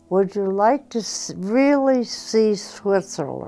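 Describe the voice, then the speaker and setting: A woman at a very slow pace over music in the background. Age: 80s+. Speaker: war veteran. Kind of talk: interview answer.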